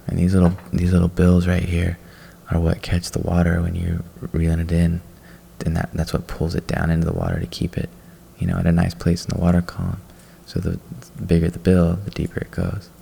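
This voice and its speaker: Soft-spoken, relaxed delivery at a fairly quick pace, monotone and flat, broken by long, frequent pauses over noticeable background noise. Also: man, very deep, low pitch for a man. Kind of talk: casual show-and-tell talk to camera about fishing tackle.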